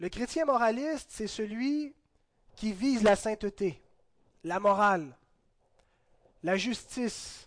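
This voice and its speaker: Speaking at a very slow pace, this man has a high pitch and lively intonation. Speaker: pastor. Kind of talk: sermon. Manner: halting.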